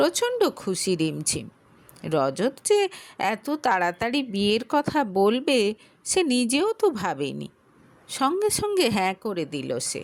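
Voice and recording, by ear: Slowly, a woman speaks at a medium pitch with big pitch swings.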